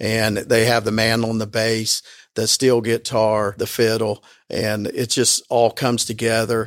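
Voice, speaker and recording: A man at medium pitch, fairly slow and monotone with flat intonation, on a very clean recording with a silent background. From southern Indiana, Bean Blossom. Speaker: bluegrass park and museum owner. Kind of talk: interview. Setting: in a museum.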